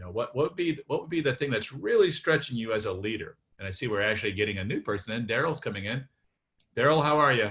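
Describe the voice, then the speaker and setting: Against a quiet background, a man speaks very fast at a medium pitch. His intonation is lively and his tone bright and sharp. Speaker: workshop facilitator. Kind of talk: facilitated group discussion. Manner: halting, many fillers.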